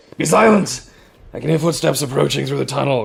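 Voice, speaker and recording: A quiet, raspy, growling put-on character voice from a man, fairly high in pitch and very fast in pace. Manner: hushed growl.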